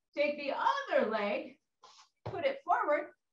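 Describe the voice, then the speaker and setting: A woman's high-pitched voice at a very slow pace, with audible room echo. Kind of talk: workout instruction. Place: gym.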